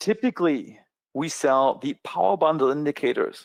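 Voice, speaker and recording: With a strong German accent and lively intonation, a man speaks in a dry, close sound with no echo. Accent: thick German. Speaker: trading educator. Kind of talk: sales pitch. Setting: online webinar.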